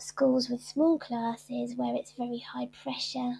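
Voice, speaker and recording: A woman with a British accent keeps to a moderate pace. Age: 40s. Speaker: author and shyness campaigner. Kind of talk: interview.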